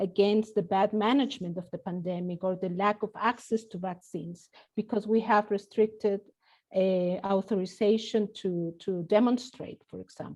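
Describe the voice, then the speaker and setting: With a Spanish accent, the speaker talks at a moderate pace with ordinary pitch variation and big swings in loudness. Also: woman. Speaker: professor. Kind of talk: panel discussion.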